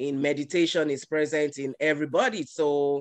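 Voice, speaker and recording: With a Yoruba accent, a man speaks at a fairly high pitch and a moderate pace. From Nigeria, Yoruba. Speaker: guest speaker at a yoga event. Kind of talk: talk. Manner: hesitant, many fillers.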